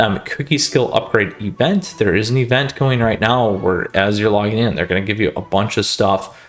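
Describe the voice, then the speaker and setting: A man's fairly low voice with ordinary pitch variation and noticeable background noise. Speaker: gaming YouTuber. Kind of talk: game update walkthrough. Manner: fast; casual, filler-heavy.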